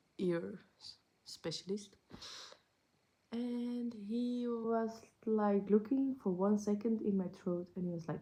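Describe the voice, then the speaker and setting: Speaking at a very slow pace with long, frequent pauses, a woman has a medium pitch and ordinary pitch variation. Her tone is dark and mellow, somewhat breathy, with big swings in loudness. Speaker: vlogger. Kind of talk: casual vlog update. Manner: halting, searching for words.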